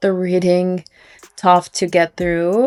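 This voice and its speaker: A woman speaks at a fairly slow pace with a Ukrainian accent. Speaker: book vlogger. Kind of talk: casual vlog narration.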